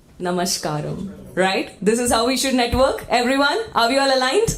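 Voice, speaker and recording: A loud woman with a high pitch, an energetic, animated tone and lively intonation at a moderate pace, with noticeable background noise and audible room echo. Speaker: event emcee. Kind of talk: live event hosting, crowd engagement. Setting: conference hall with audience, PA.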